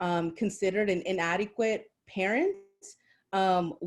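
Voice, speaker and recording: Fairly even in intonation, a woman speaks at a medium pitch and fairly slow pace in a very clean recording with a silent background. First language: not English. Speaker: maternal health program manager. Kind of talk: panel discussion.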